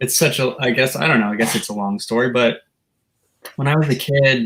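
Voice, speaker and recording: Here is a man with a normal speaking voice and a medium pitch. He talks at a fairly quick pace with ordinary pitch variation. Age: 20s. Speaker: rock guitarist. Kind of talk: interview.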